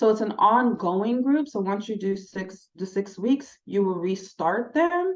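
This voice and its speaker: A woman with an unremarkable speaking voice, a fairly slow pace and ordinary pitch variation. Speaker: smoking cessation counseling trainer. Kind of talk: online training session.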